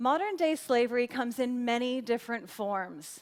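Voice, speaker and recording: An animated, high-pitched woman's voice with an American accent and lively intonation. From United States. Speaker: corporate sourcing manager. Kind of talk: TED-style presentation. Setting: stage with audience.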